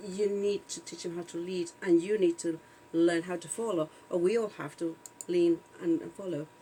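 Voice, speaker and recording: This woman speaks at a moderate pace and medium pitch. She has a non-native accent. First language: not English. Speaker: video podcast co-host. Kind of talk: casual chat. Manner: halting, many fillers.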